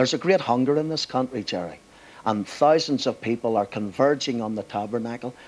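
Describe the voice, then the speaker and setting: A man in a Belfast accent, medium pitch with ordinary pitch variation, at a fairly quick pace. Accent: Belfast Northern Irish. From Northern Ireland, Belfast. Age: 60s. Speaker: pastor. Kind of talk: TV interview.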